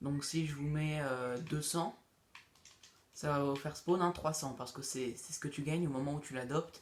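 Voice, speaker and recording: Pitched fairly high, a man talks at a fairly slow pace with fairly even intonation. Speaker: gaming youtuber. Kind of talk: tutorial. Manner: halting; casual.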